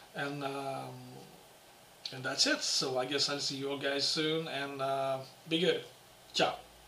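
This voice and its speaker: Over noticeable background noise and audible room echo, a man talks at a fairly slow pace in a monotone, flat intonation, with long, frequent pauses. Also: fairly high pitch for a man. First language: French. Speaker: guitarist and guitar teacher. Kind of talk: casual video Q&A. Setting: home apartment. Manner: halting.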